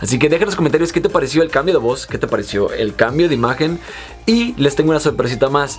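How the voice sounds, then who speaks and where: Over background music, a man talks at a very fast pace. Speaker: youtuber and magician. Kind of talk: casual vlog to camera. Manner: talkative.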